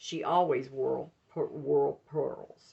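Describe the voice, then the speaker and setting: A woman speaks with a strong Southern US accent. The accent is heavy throughout. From US South, Mobile, Alabama. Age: 60s. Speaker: author and minister. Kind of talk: reading aloud from her memoir; casual talk to viewers.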